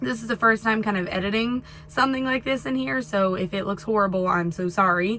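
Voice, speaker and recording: Noticeable background noise sits behind a woman talking at a fairly quick pace with lively intonation. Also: medium pitch for a woman. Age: 20s. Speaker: truck driver, video creator. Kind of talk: casual vlog talk to camera. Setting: parked in truck at a shipper.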